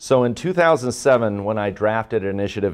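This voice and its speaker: Against a quiet background, a man talks at a moderate pace in a fairly low pitch. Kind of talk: courtroom argument. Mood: earnest, formal. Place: hall.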